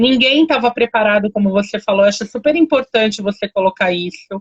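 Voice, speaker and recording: Somewhat breathy and fairly high, a woman's voice proceeds at a moderate pace, its pitch varying in an ordinary way. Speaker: live stream host. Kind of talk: casual chat.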